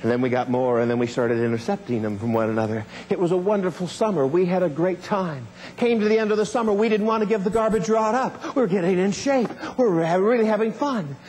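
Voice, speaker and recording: Over noticeable background noise, a man speaks very fast in a high pitch, his tone animated and enthusiastic, with very wide pitch swings and very even loudness. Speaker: motivational speaker. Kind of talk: motivational keynote speech telling a personal story. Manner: animated, humorous, enthusiastic storytelling.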